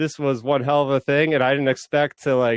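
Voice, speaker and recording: Delivered at a fairly quick pace, the speech has a dry, close sound with no echo. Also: man. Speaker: small YouTuber and online fan convention panelist. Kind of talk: casual chat. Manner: fast.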